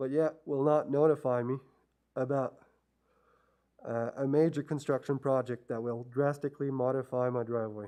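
A man's dark, mellow tone at a moderate pace, monotone and flat, with long, frequent pauses. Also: medium pitch for a man. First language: not English. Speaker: resident addressing town council. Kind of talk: public presentation. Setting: council chamber. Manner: hesitant, many fillers.

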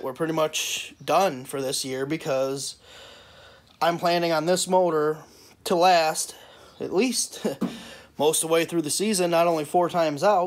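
A man talks at a fairly slow pace and a fairly high pitch. His pitch varies in an ordinary way.

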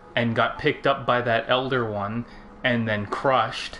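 A man speaks fairly slowly while noticeable noise fills the background. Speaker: gaming video co-host. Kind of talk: casual gameplay chat.

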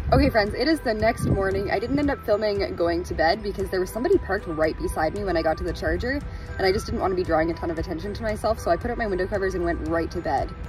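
A woman's very fast speech with hardly any pauses, dry and echo-free, over clear background music. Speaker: vlogger living in her car. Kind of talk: casual vlog chat. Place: car. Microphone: phone near.

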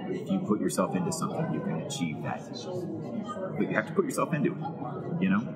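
A man with an American accent at a very fast pace, broken by long, frequent pauses, over loud background noise. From Texas. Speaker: actor and voice actor. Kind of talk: interview answer. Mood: thoughtful, warm. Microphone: lapel.

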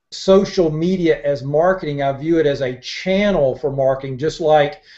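A man with a fairly high pitch and ordinary pitch variation, at a moderate pace, against a quiet background. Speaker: marketing consultant; guest. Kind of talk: interview. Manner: halting. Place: home room. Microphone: earbuds.

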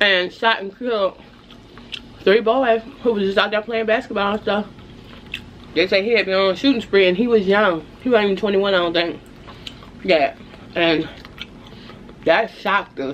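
Over light background noise, a woman talks at a moderate pace with ordinary pitch variation and long, frequent pauses. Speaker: food vlogger. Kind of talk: casual vlog chat. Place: home room. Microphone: phone near.

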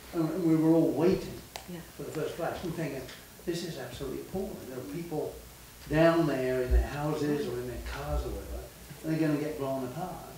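A man's fairly high, fairly quick voice with ordinary pitch variation and big swings in loudness, amid audible room echo and light background noise. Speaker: workshop participant; speaker. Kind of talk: group discussion. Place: hall. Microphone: podium.

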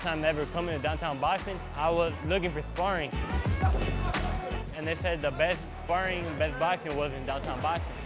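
Over clear music in the background, a man speaks at a fairly quick pace with ordinary pitch variation. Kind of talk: interview answer. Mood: warm, proud of his father. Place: gym. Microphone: lapel.

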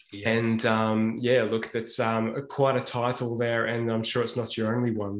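A man's moderate-paced speech comes through with audible room echo. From Australia. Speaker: podcast host. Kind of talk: interview. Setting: video call. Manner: halting. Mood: warm, appreciative. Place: home room. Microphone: earbuds.

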